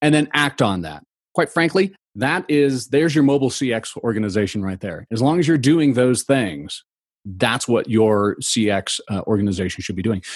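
A man with an American accent at a medium pitch and moderate pace, with very wide pitch swings over a quiet background. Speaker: customer experience consultant. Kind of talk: interview.

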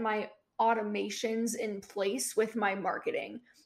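A woman with a normal speaking voice, fairly high in pitch and fairly slow, on a very clean recording with a silent background. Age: 20s. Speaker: personal finance blogger. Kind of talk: casual interview chat.

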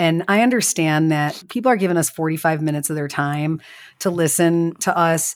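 With a strong Chicago accent, a woman speaks at a moderate pace and a fairly low pitch. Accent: strong Chicago Midwest. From Chicago western suburbs, US Midwest. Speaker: podcast co-host and business owner. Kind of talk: casual chat.

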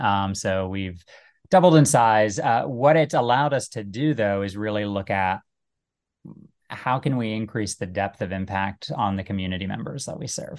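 A man speaks in a General American accent with lively intonation and a fairly low pitch. His is an unremarkable speaking voice. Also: moderate pace, quiet background. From US (Little Rock and DC suburbs). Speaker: nonprofit executive. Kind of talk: interview. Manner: many fillers (um, uh).

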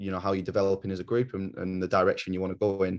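A man with an English accent speaks at a fairly low pitch against a quiet background. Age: 20s. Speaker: rugby coach. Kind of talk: interview. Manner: halting, many fillers.

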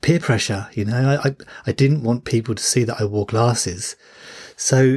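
This man's voice is somewhat breathy, at a moderate pace. The recording is very clean and silent behind him, dry and close with no echo. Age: 40s. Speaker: parenting coach and podcast host. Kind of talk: solo podcast monologue. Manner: hesitant with fillers and repetitions.

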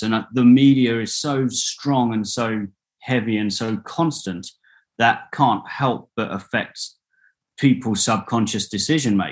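With a British accent, a man speaks at a medium pitch and with fairly even intonation over a quiet background. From UK. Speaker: social entrepreneur. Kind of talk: interview. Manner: halting, many repetitions and fillers.

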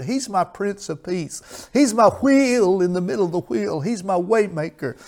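A man's high-pitched, intense voice at a fairly slow pace. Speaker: pastor. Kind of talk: televised sermon with call-in appeal. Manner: fervent, emphatic, repeats phrases, exhorting with intense pulpit energy.

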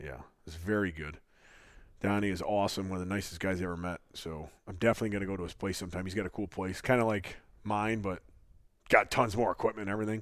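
This man speaks at a very fast pace and a fairly low pitch, with big swings in loudness. The recording is very clean, with a silent background. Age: 30s. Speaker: podcast co-host, strength athlete. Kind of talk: casual chat. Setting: studio. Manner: laughs often.

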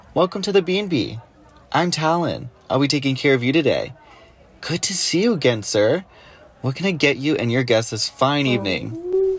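In a strained, put-on character voice, a man talks fairly high with lively intonation at a moderate pace. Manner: polite, restrained.

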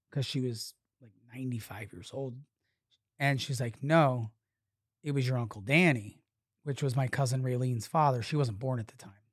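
On a very clean recording with a silent background, a somewhat breathy man talks at medium pitch and moderate pace, with ordinary pitch variation, big swings in loudness, and long, frequent pauses. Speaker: podcast guest, poker dealer. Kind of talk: casual chat, interview.

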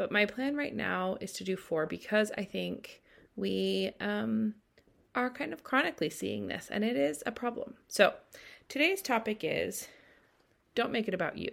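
The recording is very clean with a silent background as a woman speaks at a moderate pace. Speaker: doula coach and podcast host. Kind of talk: angry rant, opinionated monologue to fellow doulas. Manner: fired-up, exasperated, emphatic; direct, conversational, scolding.

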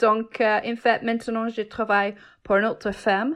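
At a fairly slow pace, a woman talks in a fairly high pitch over a quiet background. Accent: English. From England. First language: English (speaking French). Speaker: cheesemaker. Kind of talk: casual interview chat. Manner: halting.

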